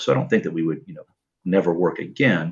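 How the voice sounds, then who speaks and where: A man's very deep, low voice with vocal fry and lively intonation, against a quiet background. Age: 30s. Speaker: caller. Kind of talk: advice call-in.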